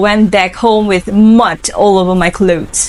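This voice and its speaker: Amid noticeable background noise, a woman speaks at a medium pitch in an Indonesian accent. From Indonesia, Lampung. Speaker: English student. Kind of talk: interview answers.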